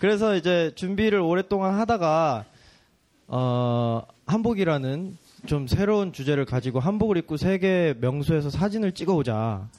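This man speaks at a moderate pace in a high voice, with very wide pitch swings and very even loudness, against a quiet background. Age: young. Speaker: photographer. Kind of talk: casual chat.

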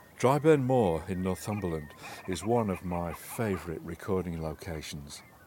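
A man with a very deep, low pitch speaks at a moderate pace with lively intonation. Noticeable background noise is present. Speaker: nature sound recordist and narrator. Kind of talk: dramatic nature narration, first-person scripted, atmospheric. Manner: vivid, poetic, evocative.

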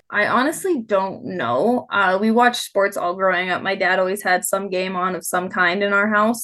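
In an American accent and a normal speaking voice, the speaker talks at a moderate pace with ordinary pitch variation against a quiet background. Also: woman. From Nevada, near Reno. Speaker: head groundskeeper. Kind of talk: interview.

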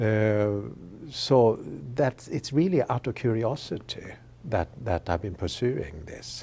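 Someone with a Swedish accent speaks very slowly in a dark, mellow tone. The voice is somewhat breathy, and the intonation is lively. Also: man, fairly low pitch for a man. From Sweden. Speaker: history professor. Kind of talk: interview. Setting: studio webcast. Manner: halting, with frequent repetitions.

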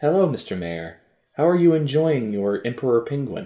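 A man's put-on character voice at a medium pitch, with very wide pitch swings. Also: moderate pace. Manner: suggestive, swishy.

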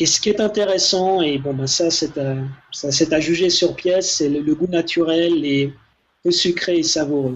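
An unremarkable speaking voice from a man, fairly high in pitch, fairly slow, with fairly even intonation. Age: 40s. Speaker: ultra-runner and snack entrepreneur. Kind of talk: casual interview.

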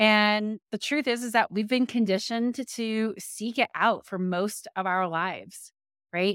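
In a plain, everyday voice, a woman speaks at a fairly high pitch with ordinary pitch variation and a fairly slow pace, dry and close with no echo on a very clean recording with a silent background. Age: 40s. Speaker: podcast host and leadership coach. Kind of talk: solo motivational talk. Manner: casual, conversational with fillers.

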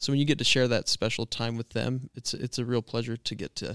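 An unremarkable speaking voice from a man with an American accent, medium in pitch, at a fairly quick pace with fairly even intonation, in a very clean recording with a silent background and a dry, close sound with no echo. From Washington State, US. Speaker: outdoor hunting filmmaker. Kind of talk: casual interview chat. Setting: hotel room.

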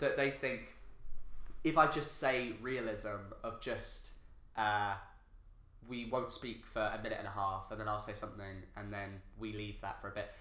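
A man keeps to a moderate speed, breaking his speech with long, frequent pauses while audible room echo hangs around his words. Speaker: podcast host. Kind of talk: casual chat.

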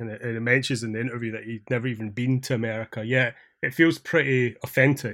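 Against a quiet background, a man with a Scottish accent talks at a medium pitch with fairly even intonation. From Scotland. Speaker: podcast host. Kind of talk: casual chat.

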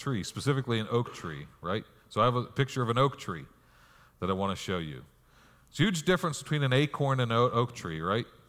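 In a very clean recording with a silent background, a man talks very fast at a medium pitch, with very wide pitch swings and vocal fry. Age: 40s. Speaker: pastor. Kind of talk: sermon. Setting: church.

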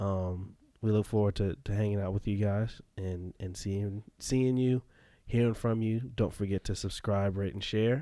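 Against a silent background on a very clean recording, a man talks fairly slowly. His fairly low voice has a dark, mellow tone and fairly even intonation. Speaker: podcast host. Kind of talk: casual chat.

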